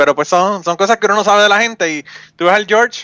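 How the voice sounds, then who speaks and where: Speaking at a very fast pace, a man has a bright, sharp tone. The sound is dry and close, with no echo. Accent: Puerto Rican. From Puerto Rico, Utuado. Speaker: podcaster. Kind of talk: casual chat.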